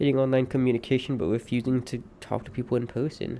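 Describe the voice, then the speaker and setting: Talking at a very fast pace, a man has a dark, mellow tone and monotone, flat intonation. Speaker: streamer. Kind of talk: personal monologue. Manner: halting.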